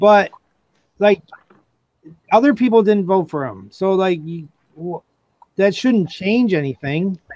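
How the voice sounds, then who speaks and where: Here a man with an American accent speaks high and fairly slowly, with long, frequent pauses. His loudness swings widely, and the sound is dry and close with no echo. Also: ordinary pitch variation. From upstate New York. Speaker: stream participant. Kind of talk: casual chat.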